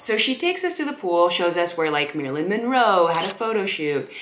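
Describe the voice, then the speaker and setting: Over light background noise, a woman talks at a fairly quick pace. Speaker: content creator. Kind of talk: casual storytelling vlog. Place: home room.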